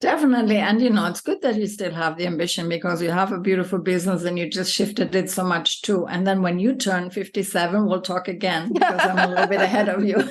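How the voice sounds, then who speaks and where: Against noticeable background noise, a woman talks at a very fast pace with hardly any pauses, in a medium-pitched voice with fairly even intonation. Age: 50s. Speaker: yoga teacher. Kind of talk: casual interview chat.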